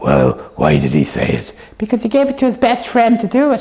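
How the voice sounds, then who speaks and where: A female-sounding, cartoonish character voice is pitched fairly high. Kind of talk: puppet show dialogue for kids. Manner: playful, chatty.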